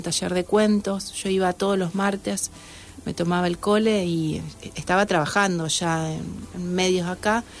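An ordinary speaking voice at a fairly slow pace, with fairly even intonation. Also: woman. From Argentina, Santa Fe. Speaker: novelist. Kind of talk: casual interview. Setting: radio studio.

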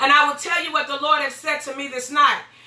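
Over noticeable background noise, a woman speaks in a raised, projected voice with an animated tone. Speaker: pastor and radio host. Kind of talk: sermon.

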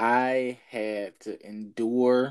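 A man talks in a monotone, flat intonation. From Jackson, Mississippi. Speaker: gaming podcast co-host. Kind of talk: casual chat.

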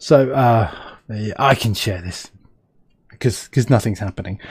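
A man with a British accent, a dark, mellow tone and ordinary pitch variation. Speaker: podcast host. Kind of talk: casual interview chat. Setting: live video stream.

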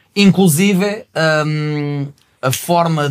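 A fairly high-pitched man with ordinary pitch variation, on a very clean recording against a silent background. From Portugal, not the north. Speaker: rapper. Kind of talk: casual chat.

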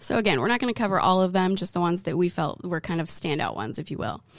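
A woman's medium-pitched voice with vocal fry, on a very clean recording with a silent background. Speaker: co-host, wealth advisor. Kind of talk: casual educational chat about retirement law.

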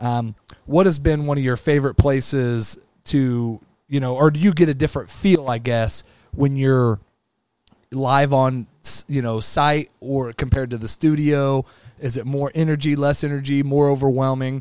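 At a moderate pace, a man with a Midwestern American accent speaks with fairly high pitch and fairly even intonation. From Kansas (small town near Wichita area). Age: 40s. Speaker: podcast host. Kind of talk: casual chat.

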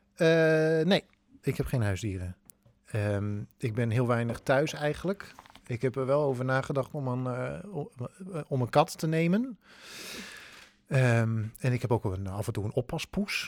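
A man at medium pitch, talking at a fairly slow pace with lively intonation and long, frequent pauses, in a dry, close sound with no echo. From Netherlands, northern Drenthe. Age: 30s. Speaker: theatre actor and improv teacher. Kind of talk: casual chat.

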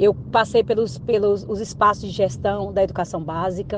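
With noticeable background noise behind her, a woman talks at a moderate pace and ordinary pitch variation. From Tocantins, central Brazil. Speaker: university administrator and professor. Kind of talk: interview. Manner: hesitant, many fillers.

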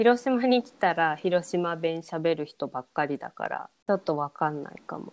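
This woman has a normal speaking voice, fairly low in pitch, with lively intonation and big swings in loudness. The sound is dry and close, with no echo. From Hiroshima, Japan. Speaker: podcast co-host. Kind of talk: casual chat.

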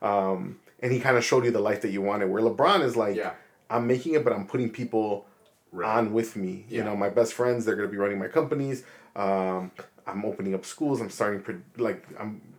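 A man has an ordinary speaking voice, with a medium pitch and ordinary pitch variation. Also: fairly quick pace. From Chicago, Logan Square. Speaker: videographer and podcast host. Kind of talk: casual chat.

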